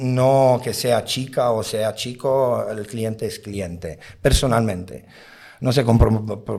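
Dark and mellow in tone, a man talks at medium pitch with fairly even intonation. His pace is very slow. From outside Spain. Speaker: nightclub bouncer. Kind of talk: interview. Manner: halting.

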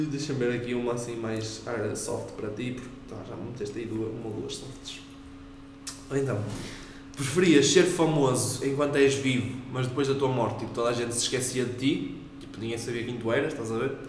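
Fairly even in intonation, a man's medium-pitched voice comes through with noticeable background noise and audible room echo. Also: fairly quick pace. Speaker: podcast co-host. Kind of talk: casual chat.

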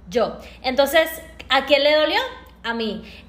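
There is noticeable background noise behind this woman's voice. She talks at a high pitch with lively intonation. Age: 30s. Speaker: entrepreneur and co-host. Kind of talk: motivational live stream talk.

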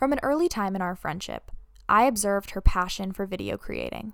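In a very clean recording with a silent background, a woman with an ordinary speaking voice talks at a fairly quick pace, her medium pitch showing ordinary pitch variation. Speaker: student podcast host. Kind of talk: scripted narration.

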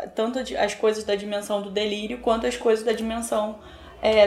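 Over noticeable background noise and audible room echo, a woman with a fairly high pitch speaks at a moderate pace. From Brazil, São Gonçalo (Rio de Janeiro state). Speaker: poet and educator. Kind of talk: interview conversation about literature.

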